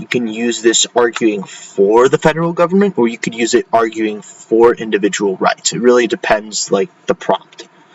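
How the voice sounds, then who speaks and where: A man with a medium-pitched voice speaks at a moderate pace with lively intonation. Noticeable background noise runs behind him. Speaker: educational YouTuber, AP exam tutor. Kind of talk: tutorial. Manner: halting, many fillers; casual.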